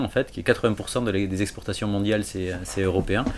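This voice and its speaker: A man's voice at a fairly low pitch. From French Basque Country. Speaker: textile industry professional, MBA student. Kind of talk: interview testimony. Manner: halting.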